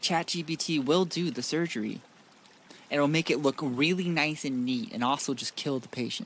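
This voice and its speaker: Moderate pace, ordinary pitch variation and fairly high pitch from a man with a plain, everyday voice. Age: 20s. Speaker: streamer. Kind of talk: gaming livestream chat. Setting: livestream to YouTube and Twitch.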